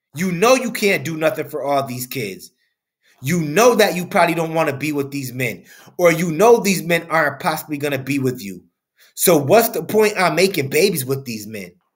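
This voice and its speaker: A man speaks at a moderate pace with lively intonation, vocal fry and big swings in loudness. The background is quiet. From US. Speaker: commentator. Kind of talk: angry rant, opinionated commentary on a news story, lecturing and scolding. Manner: indignant, emphatic, repeating lines for punch. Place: home room.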